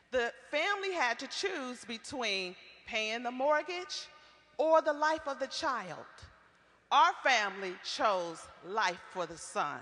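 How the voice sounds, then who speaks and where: In an American accent, a woman with a high pitch speaks at a very slow pace in a raised, projected voice, her pitch swinging very widely. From Iowa, Waterloo. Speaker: community organizer. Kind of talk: prepared testimony at a public forum. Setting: public forum with audience.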